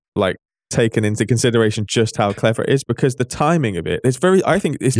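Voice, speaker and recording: The man's voice sits at a medium pitch and makes very wide pitch swings. He talks at a very fast pace on a very clean recording with a silent background. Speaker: football pundit. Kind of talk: casual chat.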